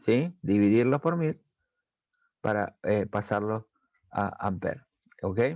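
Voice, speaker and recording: Pitched fairly low, a man speaks at a very slow pace with long, frequent pauses. His intonation is lively. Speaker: technical school teacher. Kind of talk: recorded lesson for students. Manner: hesitant with fillers.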